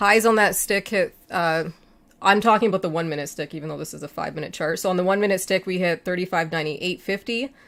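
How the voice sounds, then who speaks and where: A woman at a medium pitch, talking very fast with ordinary pitch variation. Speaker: futures trading analyst. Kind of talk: market analysis tutorial.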